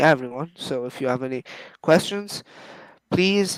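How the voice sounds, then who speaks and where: The man speaks in a Persian accent at a fairly high pitch. His pitch varies in an ordinary way. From Iran. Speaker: phone collector YouTuber. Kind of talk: casual interview.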